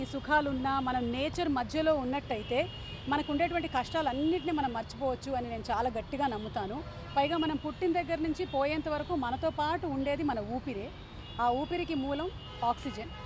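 Music plays behind a woman whose voice is high, with ordinary pitch variation. The sound is dry, with no echo. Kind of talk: interview answer. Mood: warm, upbeat. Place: garden. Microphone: handheld.

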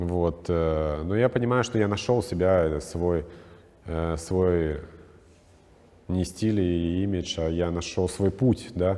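A man with a non-native accent speaks very slowly in a very deep, low, dark, mellow voice, with ordinary pitch variation and long, frequent pauses. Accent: foreign-sounding accent in Russian. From Czech Republic. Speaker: stylist; guest. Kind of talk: interview. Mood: calm, warm, reflective. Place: studio. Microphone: lapel.

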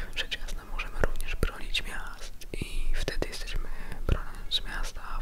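Whispering and soft-spoken, this voice keeps things hushed. The pace is very slow. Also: man. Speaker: ASMR creator narrating about a game. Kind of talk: ASMR talk about video games. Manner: soft-spoken, whispered. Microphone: studio mic.

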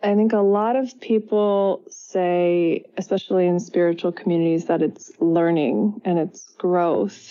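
A woman with a medium-pitched voice speaks at a fairly slow pace, her pitch varying in an ordinary way. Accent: Californian. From US West Coast, San Francisco Bay Area. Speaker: psychotherapist and yoga teacher. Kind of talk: interview.

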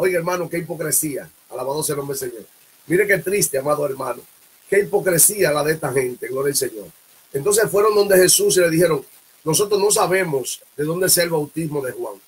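A man's high-pitched, animated voice at a fairly quick pace, with ordinary pitch variation. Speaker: preacher and livestream host; preacher, livestream host. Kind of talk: sermon with prayer and exhortation. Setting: live broadcast early morning. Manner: fervent, animated, punctuated by constant 'alabado sea el nombre del Señor' refrains. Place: home room. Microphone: webcam.

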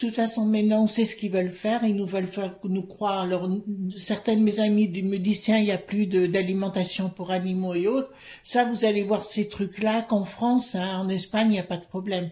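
Somewhat breathy, a woman speaks at a fairly quick pace in a monotone, flat intonation. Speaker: card reader. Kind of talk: casual vlog commentary. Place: home room. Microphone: phone near.

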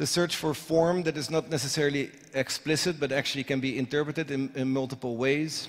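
A man with a Dutch accent at a fairly high pitch, fairly quick pace, hardly any pauses and fairly even intonation. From Netherlands. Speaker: architect. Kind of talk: lecture. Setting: stage with audience. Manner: hesitant, many fillers. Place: hall.

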